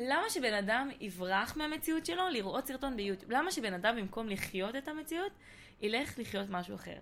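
A woman with a fairly high pitch, very wide pitch swings and a moderate pace. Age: 20s. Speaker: content creator. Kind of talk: casual chat. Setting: studio.

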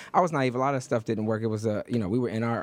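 The speaker is a man. He has an American accent. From Detroit, US Midwest. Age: 30s. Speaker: radio host and congressional candidate. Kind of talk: radio interview. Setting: radio studio.

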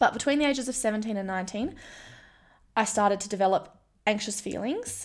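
A woman talks at a very fast pace in an Australian accent, her pitch fairly high with ordinary variation. Long, frequent pauses break up her speech. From Western Australia (Kalgoorlie). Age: 20s. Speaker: podcast host and gold prospector. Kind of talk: personal monologue, casual. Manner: chatty, laughs often.

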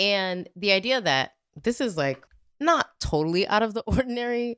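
A woman talks in an animated tone with very wide pitch swings. The sound is dry and close, with no echo. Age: 30s. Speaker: professor and podcast co-host. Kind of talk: casual chat.

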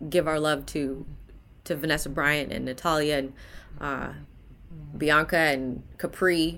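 A woman speaks at a fairly slow pace with a very deep, low pitch and vocal fry. Her intonation is fairly even. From Canada, Hamilton, Ontario. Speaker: basketball play-by-play commentator. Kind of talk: casual interview chat.

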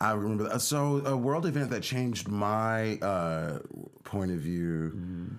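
A man with an American accent speaks at a fairly slow pace, his pitch fairly low. He has an ordinary speaking voice with lively intonation. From USA. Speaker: podcast co-host, son. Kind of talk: casual chat.

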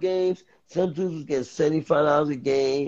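At a moderate pace, a man talks in a New York accent. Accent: New York City. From New York City, the Bronx. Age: 50s. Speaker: former streetball player. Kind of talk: casual chat.

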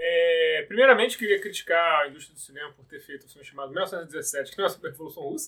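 With big swings in loudness, a man speaks at a very fast pace in a high pitch and a bright, sharp tone. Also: ordinary pitch variation. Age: 30s. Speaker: podcast host. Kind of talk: casual chat.

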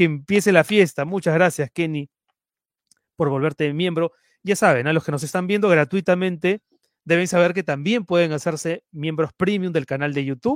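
A man with a high pitch speaks at a moderate pace, with ordinary pitch variation and a dry, close sound with no echo. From Peru (Lima). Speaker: web news show host. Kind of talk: live stream news show. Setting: live stream broadcast.

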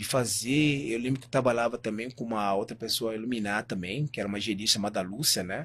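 A man talks at a fairly quick pace in a plain, everyday voice. The recording is very clean, with a silent background. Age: 40s. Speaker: natural bodybuilding champion. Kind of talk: interview conversation.

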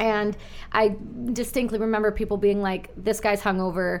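Moderate pace with little pitch movement. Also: woman, medium pitch for a woman.

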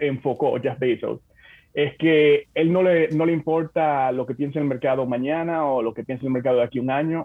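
This man has an unremarkable speaking voice pitched fairly high. He talks at a fairly quick pace with fairly even intonation. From Dominican Republic (Santo Domingo, Bonao). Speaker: corporate development manager at a tech company. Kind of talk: interview.

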